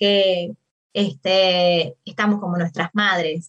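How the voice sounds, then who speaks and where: A woman speaks at a fairly slow pace. She has a Uruguayan accent. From Uruguay, Maldonado. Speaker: political science professor and researcher. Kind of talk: interview about her book. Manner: hesitant with fillers.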